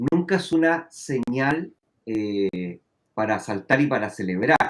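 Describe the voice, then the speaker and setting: A man with a Chilean accent, very slow in pace, lively in intonation. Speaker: finance professor. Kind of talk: interview.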